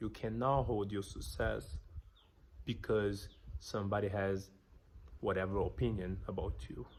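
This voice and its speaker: A man with a strong non-native accent speaks at a fairly slow pace, leaving long, frequent pauses. His voice is fairly low with vocal fry and ordinary pitch variation. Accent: thick foreign. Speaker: business vlogger. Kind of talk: motivational talk to camera.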